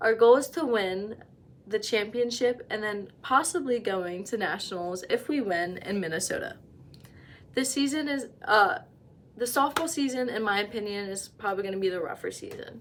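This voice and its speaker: A woman with a plain, everyday voice talks at a moderate pace, her fairly high pitch rising and falling in lively intonation. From New Jersey, US. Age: 20s. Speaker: college student. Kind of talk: class self-introduction speech. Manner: casual.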